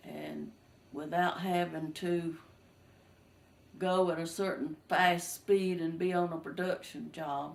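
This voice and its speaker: With a Southern US accent, a woman speaks very slowly in a fairly low pitch, her intonation monotone and flat, with long, frequent pauses and audible room echo. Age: 60s. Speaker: retired textile mill worker. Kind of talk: family interview, personal reminiscence. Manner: casual, slightly halting.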